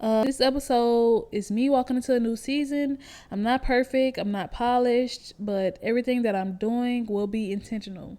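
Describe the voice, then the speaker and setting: A woman with an American accent and a dark, mellow tone speaks at a high pitch and a moderate pace, with fairly even intonation and hardly any pauses. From Houston, Texas. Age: 20s. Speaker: podcast host. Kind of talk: casual monologue, partly reading notes. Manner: halting, stumbling.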